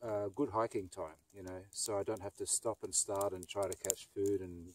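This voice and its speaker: The speaker is a man. The sound is dry with no echo, over light background noise. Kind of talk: casual vlog chat. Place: forest.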